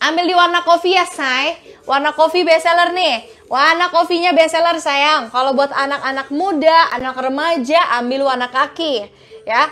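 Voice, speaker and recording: Raised and projected, a woman's extremely high, warm voice moves at a moderate pace with ordinary pitch variation. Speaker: online bag seller. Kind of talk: live-stream sales pitch. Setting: online live stream selling bags. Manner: warm and flirty, calls viewers 'sayang' and 'kakak'. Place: shop. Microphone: lapel.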